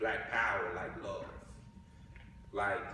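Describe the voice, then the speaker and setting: Noticeable background noise runs under the recording. A man with a Southern US accent talks at a fairly slow pace. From Mississippi. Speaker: writer and ethnographer. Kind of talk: spoken word poetry performance.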